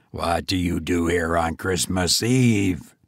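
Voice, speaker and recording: A man speaks in a put-on character voice. His pitch is very deep and low. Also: fairly slow pace. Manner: stern.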